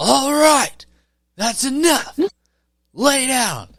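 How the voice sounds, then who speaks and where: This put-on character voice sits at a high pitch. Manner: stern, calm.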